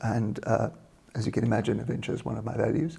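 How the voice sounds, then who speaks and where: Talking at a very fast pace, a man uses a medium pitch with ordinary pitch variation and a dark, mellow, somewhat breathy tone. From South Africa, small town. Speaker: leadership coach and trainer. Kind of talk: interview.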